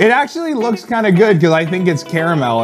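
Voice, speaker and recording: A man at a moderate pace over clear music in the background. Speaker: food challenge host. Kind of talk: casual vlog chat. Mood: playful mock disgust. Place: studio. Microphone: lapel.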